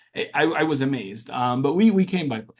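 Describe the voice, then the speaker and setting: The speaker talks at a moderate pace with an Arabic accent. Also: man. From Syria, Damascus; moved to US at seven. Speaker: social media activist. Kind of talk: interview.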